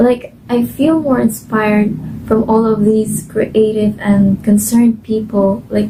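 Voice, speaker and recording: A woman with a Filipino accent speaks at a very slow pace and a fairly high pitch. Her intonation is monotone and flat, and there is noticeable background noise. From Philippines, Cebuano-speaking region. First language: Cebuano. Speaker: volunteer translator. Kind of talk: testimony. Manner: casual, filler-heavy.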